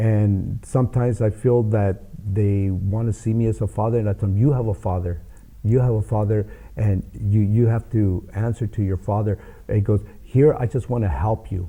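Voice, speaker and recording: In an American accent, a man with a fairly low pitch and a dark, mellow, somewhat breathy tone talks at a fairly quick pace. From Los Angeles. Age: 60s. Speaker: boxing coach and youth mentor. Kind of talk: interview.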